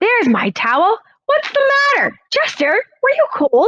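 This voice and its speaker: A woman's put-on character voice, squeaky and extremely high in pitch, with very wide pitch swings at a moderate pace. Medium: read story. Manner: hesitant, easygoing.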